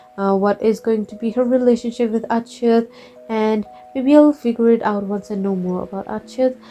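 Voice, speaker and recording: A woman speaks at a moderate pace in a non-native accent, her pitch fairly high and her intonation fairly even. Her loudness swings widely, and music plays behind her. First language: not English. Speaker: art YouTuber, webcomic creator. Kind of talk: casual draw-with-me chat. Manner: halting, self-correcting.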